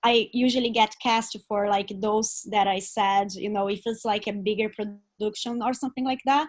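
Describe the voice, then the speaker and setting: A woman with a non-native accent speaks at a moderate pace in a fairly high pitch, with hardly any pauses. The background is quiet. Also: fairly even intonation. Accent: foreign. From Brazil. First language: Portuguese. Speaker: actor. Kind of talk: audience question. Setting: video call.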